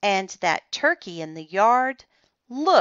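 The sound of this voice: The background is quiet while an unforced reading voice carries the text.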